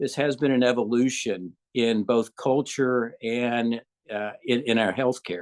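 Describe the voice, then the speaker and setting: A man speaks with a Southern US accent at medium pitch. His intonation is fairly even and his pace fairly slow. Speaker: gynecologist. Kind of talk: interview. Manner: hesitant, with many fillers.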